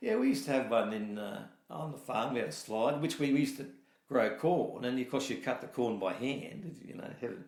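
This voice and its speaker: Speaking in a rural Australian accent, a man of medium pitch talks at a fairly quick pace with lively intonation amid audible room echo. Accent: broad rural Australian. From New South Wales south coast, Australia. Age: 60s. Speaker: dairy farmer. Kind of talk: oral history interview. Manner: conversational, hesitant with fillers.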